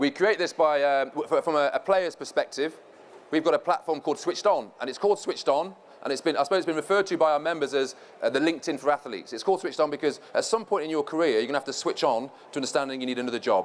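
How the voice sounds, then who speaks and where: A man speaks very fast at a fairly high pitch. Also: ordinary pitch variation. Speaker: former professional footballer, panel speaker. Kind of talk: conference presentation.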